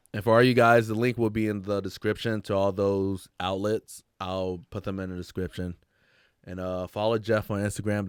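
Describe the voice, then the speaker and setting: On a very clean recording with a silent background, a man talks at a fairly quick pace in an ordinary speaking voice, fairly low in pitch, with fairly even intonation. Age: 30s. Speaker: podcast host, interviewer. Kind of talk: casual interview.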